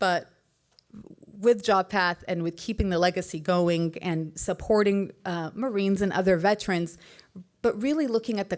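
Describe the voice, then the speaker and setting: At a moderate pace, a woman speaks in a fairly low voice with ordinary pitch variation. The recording is very clean, with a silent background. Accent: Arabic. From US, Egyptian American family. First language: Arabic. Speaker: Marine widow, educator. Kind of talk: tribute speech. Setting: stage at gala. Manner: conversational, with fillers.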